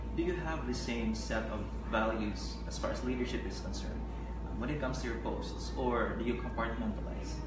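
A man speaks at a fairly quick pace. Loud background noise and audible room echo fill the recording. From Philippines. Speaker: online news editor and interviewer. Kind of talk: interview. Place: studio. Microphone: camera far.

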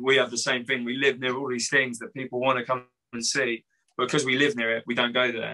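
A man with an English accent talks very fast at a medium pitch. His tone is bright and sharp, his intonation flat and monotone, and the background is quiet. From England. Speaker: punk band musician; guest. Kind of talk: casual interview. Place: home room. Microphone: video call.

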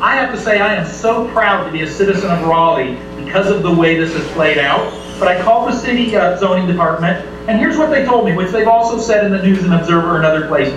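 Speaking at a very fast pace, a man with a high pitch is heard over faint background music and audible room echo. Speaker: home sharing host at public meeting. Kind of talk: public meeting statement. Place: bar.

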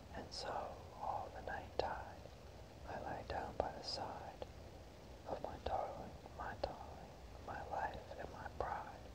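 Whispering at a very slow pace, the speaker leaves long, frequent pauses against noticeable background noise. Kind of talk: poetry reading, ASMR. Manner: whispered, soft.

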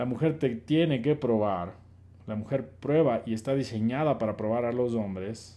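At a moderate pace, a man speaks with a dark, mellow tone and ordinary pitch variation. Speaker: live-stream host and dating coach; live-stream host, dating coach. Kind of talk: casual live stream answering chat questions. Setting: online live stream. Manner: animated. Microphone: phone near.

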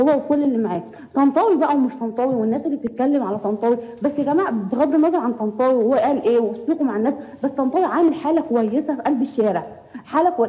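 Over noticeable background noise, someone speaks at a very fast pace with an Egyptian accent and ordinary pitch variation. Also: woman. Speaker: caller. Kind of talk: phone-in commentary.

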